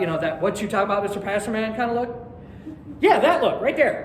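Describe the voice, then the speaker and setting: A man with an American accent at a fairly quick pace, amid noticeable background noise. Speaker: student pastor giving a sermon at a spiritualist church. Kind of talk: church sermon to a live congregation. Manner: casual, friendly, conversational.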